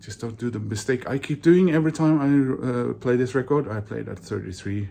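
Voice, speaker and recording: With a Norwegian accent and a medium pitch, a man talks at a fairly quick pace, using ordinary pitch variation and big swings in loudness. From Norway. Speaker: vinyl collector YouTuber. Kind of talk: casual monologue video. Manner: hesitant, many fillers.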